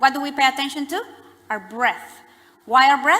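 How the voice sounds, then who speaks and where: Noticeable background noise accompanies a woman who talks at a fairly quick pace. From Latin America. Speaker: psychotherapist. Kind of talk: lecture.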